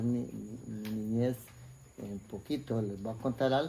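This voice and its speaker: Speaking fairly slowly, a man uses a medium pitch and a dark, mellow tone. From Costa Rica, Puriscal (San José province). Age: 60s. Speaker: interviewee sharing life story. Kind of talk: life story interview. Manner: hesitant, many fillers and repetitions.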